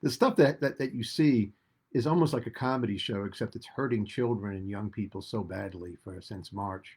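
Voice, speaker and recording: In an American accent, a man with a medium pitch and ordinary pitch variation speaks at a moderate pace, sounding somewhat breathy, his loudness swinging widely. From US Northeast, Rhode Island. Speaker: political commentator. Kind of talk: talk radio political commentary. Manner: animated.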